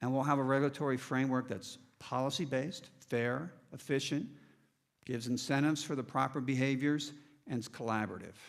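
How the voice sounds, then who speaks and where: In an American accent, a man talks at a fairly quick pace with a medium pitch and fairly even intonation. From US East Coast, Maryland. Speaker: energy company executive. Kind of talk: keynote speech.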